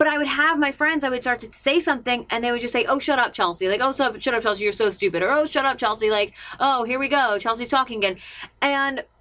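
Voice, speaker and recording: A woman speaks in a high pitch with a bright, sharp tone. Her pace is fairly quick, and her pitch varies in an ordinary way. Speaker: radio personality and vlogger. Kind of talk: personal confessional vlog. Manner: fast; halting, many fillers.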